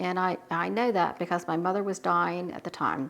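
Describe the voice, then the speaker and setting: A woman talks with a Southern US accent. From US South. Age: 60s. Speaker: home canning YouTuber. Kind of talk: Q&A monologue. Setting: home kitchen.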